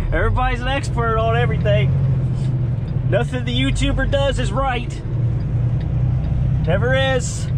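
Moderate-paced speech, dry with no echo, against loud background noise. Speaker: truck driver vlogger. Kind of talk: casual vlog chat. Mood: mildly defensive, joking. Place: car. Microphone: camera far.

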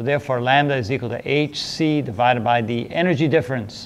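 Here a man talks at a very fast pace. His pitch varies in an ordinary way. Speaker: physics teacher. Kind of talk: lecture. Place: classroom. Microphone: lapel.

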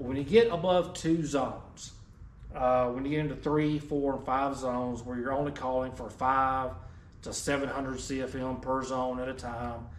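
Against audible room echo and light background noise, a man speaks at a fairly slow pace with fairly even intonation. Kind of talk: product explanation. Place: shop.

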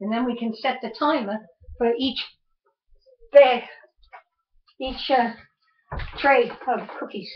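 A woman's high-pitched voice with fairly even intonation against a quiet background. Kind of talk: casual instructive chat. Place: kitchen. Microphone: webcam.

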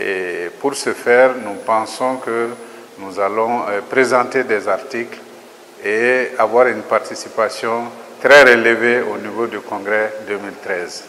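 A man at a very slow pace with fairly even intonation over light background noise. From Mali. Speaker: agricultural research director. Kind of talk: interview statement. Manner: formal. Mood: calm, formal.

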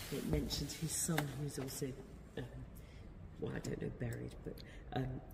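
A woman talks at a moderate pace with vocal fry in her voice.

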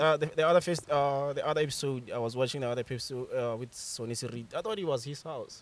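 With a Botswana accent, a man talks at a very fast pace with hardly any pauses, using a fairly high pitch and ordinary pitch variation in a dry sound with no echo. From Botswana, Bobonong. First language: Setswana. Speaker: author and creative writer; podcast guest. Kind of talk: casual chat. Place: garden. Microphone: studio mic.

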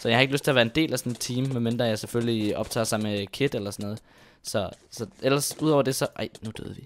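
A man with a medium pitch talks at a very fast pace, his intonation fairly even. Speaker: gaming YouTuber. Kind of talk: gameplay commentary. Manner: hesitant, many fillers.

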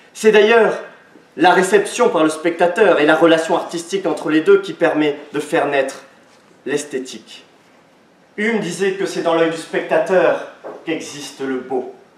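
A man's high-pitched voice at a fairly slow pace, with long, frequent pauses, ordinary pitch variation and audible room echo. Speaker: law student orator. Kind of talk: oratory contest speech; audience Q&A. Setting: stage with audience. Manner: declamatory. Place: hall. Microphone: camera far.

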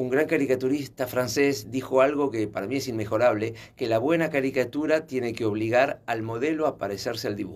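Pausing hardly at all, the speech runs rather quickly with pitch varying in a normal way. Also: man, medium pitch for a man. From Uruguay. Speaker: salsa teacher and dancer; salsa teacher. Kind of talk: radio interview. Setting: radio studio. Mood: warm, nostalgic. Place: studio. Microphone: studio mic.

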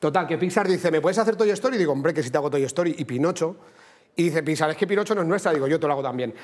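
A high-pitched man rattles along at a very fast pace, his pitch varying in an ordinary way. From Spain, Cuenca province; Spain. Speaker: comedian co-host. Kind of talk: comedy sketch. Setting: TV studio. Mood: joking, storytelling. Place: studio.

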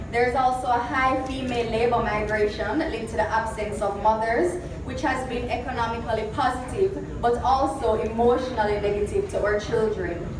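Amid noticeable background noise and audible room echo, a woman with a fairly high pitch talks at a fairly quick pace with ordinary pitch variation and hardly any pauses. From Jamaica. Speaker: symposium moderator. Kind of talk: prepared speech. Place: hall. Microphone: camera far.

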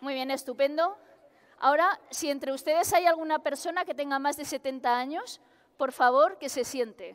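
A woman's high-pitched voice, with ordinary pitch variation, at a moderate pace. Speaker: researcher comedian. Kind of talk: stand-up science monologue. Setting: stage with audience. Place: hall.

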